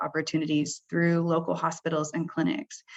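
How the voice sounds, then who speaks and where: The speaker is a woman. Her voice carries vocal fry. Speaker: senior director for healthcare programs. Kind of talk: webinar presentation. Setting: webinar.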